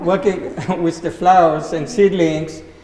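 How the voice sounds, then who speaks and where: Noticeable background noise sits behind a man with an Israeli accent and a high pitch. He speaks at a fairly slow pace with fairly even intonation. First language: Hebrew. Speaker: greenhouse grower. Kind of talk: panel talk.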